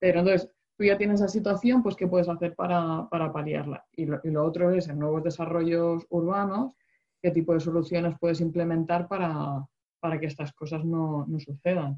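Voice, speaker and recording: A woman talks at a moderate pace in a fairly low pitch. Her intonation stays fairly even. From Murcia, Spain. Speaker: water engineer, podcast co-host. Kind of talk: casual chat. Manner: halting, many repetitions.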